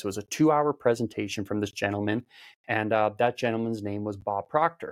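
Talking at a fairly quick pace, a man has a normal speaking voice and fairly even intonation. The sound is dry and close with no echo, on a very clean recording with a silent background. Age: 30s. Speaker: mindset coach. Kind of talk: casual interview chat.

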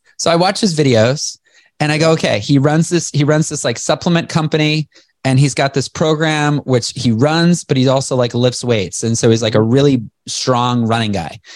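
A man with a plain, everyday voice and fairly high pitch speaks at a moderate pace, with ordinary pitch variation and very even loudness. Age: 40s. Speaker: entrepreneur and motivational speaker. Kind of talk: interview. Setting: video call.

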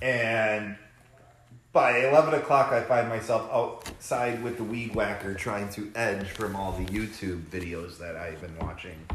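A man speaks fairly slowly at a fairly low pitch, his pitch moving in an ordinary way while his loudness swings widely. Noticeable background noise and audible room echo fill the recording. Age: 30s. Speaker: podcast co-host, recovering alcoholic. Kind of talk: casual chat.

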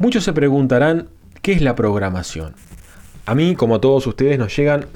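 With lively intonation at a moderate pace, a man talks in an ordinary speaking voice. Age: 30s. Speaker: podcast host. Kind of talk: casual monologue.

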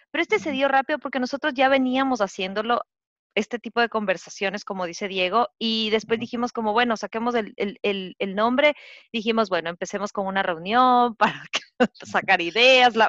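A woman with a normal speaking voice talks at a fairly quick pace in a fairly high pitch, with ordinary pitch variation. The sound is dry and close with no echo, and the background is quiet. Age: 30s. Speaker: podcast co-host, graphic designer. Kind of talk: casual chat.

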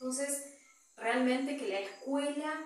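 A high-pitched woman's voice with noticeable background noise and audible room echo. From Argentina. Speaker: missionary nun. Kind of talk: testimony. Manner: halting.

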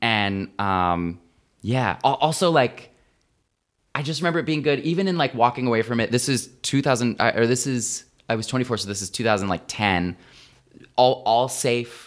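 A man with a plain, everyday voice talks at a moderate pace and medium pitch. His intonation is lively, and the recording is very clean with a silent background. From rural United States. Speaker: psychologist. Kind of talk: casual chat.

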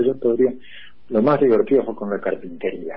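A plain, everyday voice moves at a fairly quick pace. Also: man. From Buenos Aires, Argentina. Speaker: art restorer and communications scholar. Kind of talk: interview conversation.

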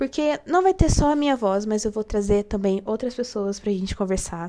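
Very wide pitch swings in a woman's dark, mellow tone. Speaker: podcast host, illustrator. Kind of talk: casual monologue.

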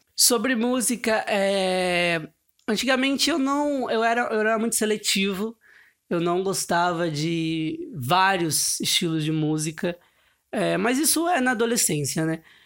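A man talks in a high pitch with very wide pitch swings at a fairly slow pace. The recording is very clean, with a silent background. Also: very even loudness. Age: 20s. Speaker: podcast host. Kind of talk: casual solo monologue. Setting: bedroom, sitting on floor. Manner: halting.

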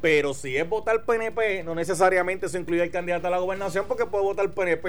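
Over music in the background, a man with a Puerto Rican accent talks very fast at a high pitch. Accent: Puerto Rican accent when speaking English. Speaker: radio talk show host. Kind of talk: talk radio commentary and interview.

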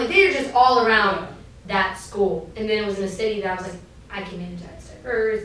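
Fairly quick speech with an American accent and ordinary pitch variation, over noticeable background noise. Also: woman. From US East Coast. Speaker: university athletics administrator. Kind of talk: casual interview chat.

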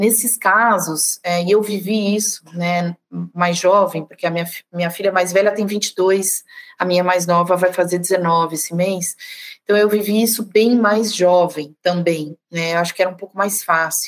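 Her intonation fairly even, a woman with a normal speaking voice talks at a moderate pace. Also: medium pitch for a woman. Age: 40s. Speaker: sales director. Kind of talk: casual conversation.

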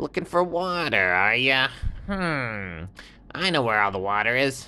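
A put-on character voice speaks at a fairly slow pace in a low-to-middle pitch. The background is quiet. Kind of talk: bedtime story character voice. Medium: read story. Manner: brash, casual, a little defensive.

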